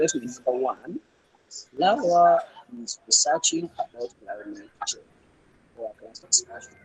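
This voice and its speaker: A quiet man speaks at a moderate pace in a dry, close sound with no echo. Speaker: student presenter. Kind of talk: class presentation. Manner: hesitant, with fillers. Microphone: too quiet.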